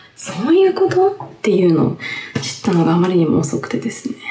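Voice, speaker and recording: With very wide pitch swings, a woman talks at a moderate pace over noticeable background noise, and there is audible room echo. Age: 30s. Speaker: podcast host. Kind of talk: casual solo talk. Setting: bathroom changing room. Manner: animated, laughing often. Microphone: echoey room sound.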